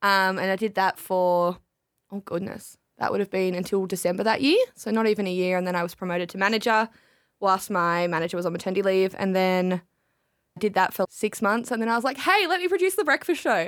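A woman speaks at a fairly quick pace with an Australian accent and ordinary pitch variation, on a very clean recording with a silent background. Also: medium pitch for a woman. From Tasmania, Australia. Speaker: radio brand lead and announcer. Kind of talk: casual chat.

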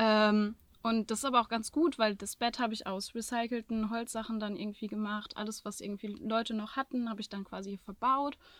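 A woman speaks with hardly any pauses in a normal speaking voice, with fairly even intonation. The recording is very clean, with a silent background. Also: fairly high pitch for a woman, fairly quick pace. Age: 20s. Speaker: social work student, van traveler. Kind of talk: casual chat. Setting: inside her van in Andalusia.

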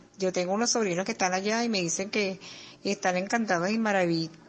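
With a Venezuelan accent, a woman speaks in fairly even intonation. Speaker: listener. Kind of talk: casual chat.

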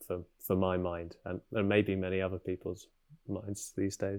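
The voice has a southern English accent and a dark, mellow tone. Delivery is monotone and flat in a very clean recording with a silent background. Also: man. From England, Cambridge. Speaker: animator. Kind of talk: casual interview.

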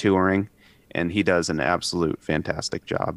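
With an American accent, a man speaks at a very deep, low pitch. The sound is dry and close, with no echo. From US South, Tennessee. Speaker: rock musician. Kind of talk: casual interview chat. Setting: video call.

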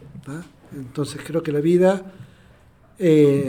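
Very slowly, a man speaks at a fairly high pitch. Noticeable background noise runs behind him. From Argentina. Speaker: adaptive athlete and motivational speaker. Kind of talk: casual interview conversation. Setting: podcast recording with small live audience.

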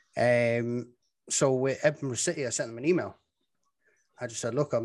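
This man speaks fairly quickly, and the background stays quiet. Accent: Dublin. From Ireland, Dublin. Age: 30s. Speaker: football commentator. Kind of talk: casual chat.

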